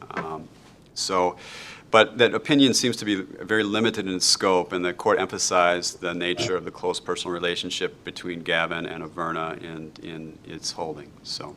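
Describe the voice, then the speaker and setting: A man's very deep, low voice with a Wisconsin accent, bright, sharp tone, ordinary pitch variation, big swings in loudness and a moderate pace. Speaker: law instructor. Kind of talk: lecture. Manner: frequent fillers and hesitations.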